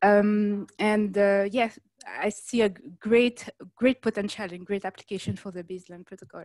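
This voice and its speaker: A woman at medium pitch with a French accent, moderate pace, and a dry, close sound with no echo. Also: big swings in loudness. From France. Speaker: enterprise program professional. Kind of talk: self-introduction. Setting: video call. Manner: halting, many fillers.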